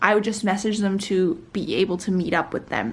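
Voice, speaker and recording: A woman speaks at a moderate pace and a medium pitch. Her voice is somewhat breathy. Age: young. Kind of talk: casual vlog chat. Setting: at home, wearing a face mask. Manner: rambling, with many fillers.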